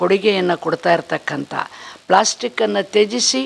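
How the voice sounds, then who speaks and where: A woman's voice with ordinary pitch variation, over noticeable background noise. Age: old. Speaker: retired school headmistress. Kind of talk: testimonial. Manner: formal.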